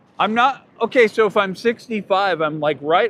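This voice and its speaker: A man at a moderate pace with lively intonation. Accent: West Coast US. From Oregon, Portland. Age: 60s. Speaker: livestream host. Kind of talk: casual chat. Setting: outdoors. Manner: rambling, casual.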